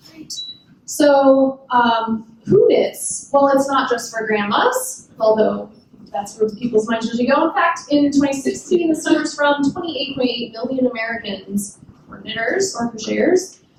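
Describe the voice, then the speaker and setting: A woman talks at a fairly slow pace, her pitch high and her intonation lively. Her loudness swings widely, and room echo is audible. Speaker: conference speaker on knitting and coding. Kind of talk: conference talk. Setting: stage with audience, using a mic.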